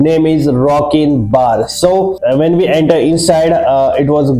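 A man talks at a fairly slow pace with very even loudness. His pitch varies in an ordinary way. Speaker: travel vlogger. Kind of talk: casual vlog chat. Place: home room. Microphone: lapel.

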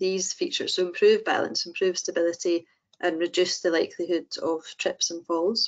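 Things are quiet behind the speaker. She is a woman speaking at a moderate speed. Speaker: prosthetist. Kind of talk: webinar presentation. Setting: online webinar. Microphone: video call.

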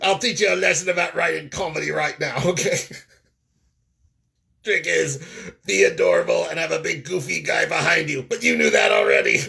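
The speaker uses a raspy, put-on character voice. Delivery runs at a fairly quick pace, broken by long, frequent pauses. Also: man. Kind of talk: comic puppet voice. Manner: sarcastic, bantering.

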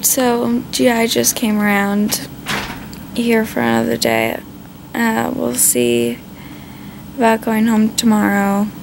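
The speech moves at a very slow pace with long, frequent pauses and very even loudness, while noticeable background noise runs underneath. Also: woman. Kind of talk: casual vlog chat. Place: home room. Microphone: phone near.

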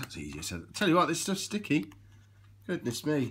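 A man is speaking, his pitch swinging very widely. Light background noise can be heard. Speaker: vlogger. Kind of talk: casual vlog chat. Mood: light, self-mocking. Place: home room. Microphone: phone near.

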